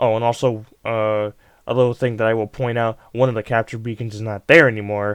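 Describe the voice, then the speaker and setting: Recorded dry and close with no echo, a man speaks fairly quickly at a medium pitch. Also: quiet background. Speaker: gaming video creator. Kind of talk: gameplay commentary. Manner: fast; hesitant, many fillers.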